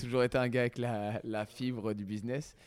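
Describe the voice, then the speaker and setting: A man speaks in a normal speaking voice at a moderate pace with fairly even intonation. The recording is very clean, with a silent background. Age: 30s. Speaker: basketball coach and sports centre founder. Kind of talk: casual interview.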